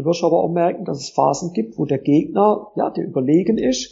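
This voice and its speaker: Using lively intonation and some vocal fry, a man with a fairly high pitch talks at a moderate pace. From southwestern Germany (Pforzheim area, Baden). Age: 30s. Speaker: tennis coach. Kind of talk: interview. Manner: hesitant fillers (äh).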